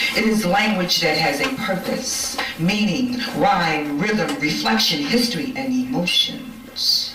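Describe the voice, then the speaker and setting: Amid noticeable background noise, a woman speaks very slowly with a high pitch and lively intonation. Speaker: event host. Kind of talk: live event hosting.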